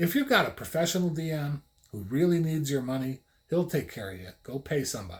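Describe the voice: A man speaks with a fairly high pitch and big pitch swings. His tone is slightly mellow.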